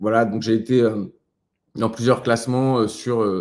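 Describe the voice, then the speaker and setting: Delivered at a very slow pace, the voice stays monotone with flat intonation. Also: man. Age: 30s. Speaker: online entrepreneur and content creator. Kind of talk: live webinar presentation. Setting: live online webinar. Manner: halting, many fillers.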